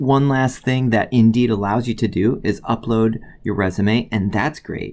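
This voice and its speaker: Speaking with an American accent, the voice shows ordinary pitch variation. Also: man. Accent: Midwestern, slight, occasionally slips out. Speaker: college biology instructor. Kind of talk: tutorial. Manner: casual, many filler words.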